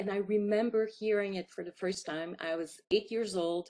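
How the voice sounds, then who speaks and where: A woman with a Quebec accent speaks at a moderate pace. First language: French. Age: 50s. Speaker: filmmaker. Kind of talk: interview.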